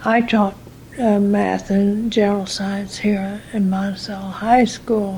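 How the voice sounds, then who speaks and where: In an American accent, a woman speaks very slowly in a flat monotone at a medium pitch, with audible room echo around her. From US Midwest. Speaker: retired teacher. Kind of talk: oral history interview. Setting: in her room.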